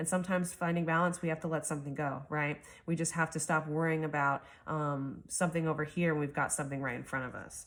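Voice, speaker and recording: Very fast, flat, monotone speech in a very clean recording with a silent background. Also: woman, very deep, low pitch for a woman. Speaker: tarot reader. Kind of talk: tarot reading monologue. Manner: hesitant, many fillers.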